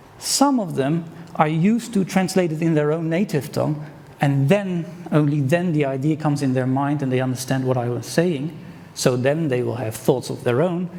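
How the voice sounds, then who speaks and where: With audible room echo, a man speaks at a fairly high pitch and moderate pace with ordinary pitch variation. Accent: Dutch. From Netherlands. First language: Dutch. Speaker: conference speaker. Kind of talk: conference talk.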